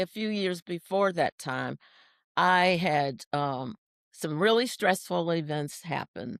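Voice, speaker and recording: A woman at medium pitch speaks very slowly in an American accent, her pitch swinging very widely, on a very clean recording with a silent background and a dry, close sound with no echo. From US, Washington DC. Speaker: senior track athlete. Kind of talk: interview.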